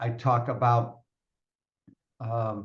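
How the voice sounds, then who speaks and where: Somewhat breathy, a man's voice sits at a medium pitch. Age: 60s. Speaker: personal growth coach and author. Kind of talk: podcast interview.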